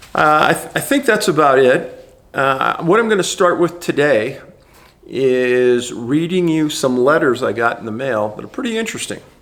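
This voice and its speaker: Moderately paced and with lively intonation, a man with an American accent has a fairly high pitch and a plain, everyday voice. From US West. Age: 60s. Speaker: researcher and video host. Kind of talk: reading aloud; casual monologue.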